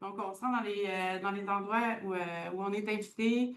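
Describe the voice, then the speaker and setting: The speaker has an unremarkable speaking voice. The intonation stays fairly even at a moderate pace. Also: woman. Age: 30s. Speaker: community organization worker. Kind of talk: conference talk.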